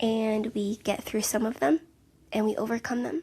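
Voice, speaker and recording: A soft-spoken woman talks at a fairly high pitch with vocal fry. The recording is very clean, the background silent. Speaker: podcast host, counselor and mother. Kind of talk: casual solo podcast monologue. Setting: home, sitting on couch. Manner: chatty, tangential. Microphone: handheld mic held close to mouth.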